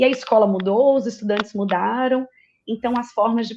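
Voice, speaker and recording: Her intonation stays fairly even. The woman keeps to a moderate pace. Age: 40s. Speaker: university teaching director. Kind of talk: formal opening speech.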